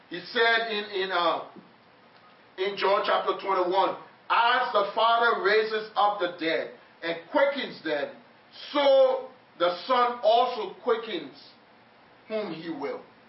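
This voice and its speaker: At a very slow pace with long, frequent pauses, a man with a high pitch and ordinary pitch variation talks over noticeable background noise. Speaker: preacher. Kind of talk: sermon. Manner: animated; call-and-response.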